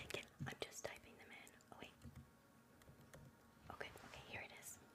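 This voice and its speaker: A woman whispering at a fairly quick pace. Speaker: ASMR creator, live streamer. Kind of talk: ASMR whispered relaxation. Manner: whispered, soft-spoken.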